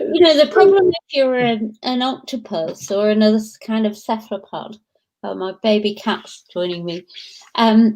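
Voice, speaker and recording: Lively intonation marks this woman's speech. She has a Lancashire accent and a fairly high pitch. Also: moderate pace. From northern England, Blackpool, Lancashire. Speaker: professor. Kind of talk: interview. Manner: animated.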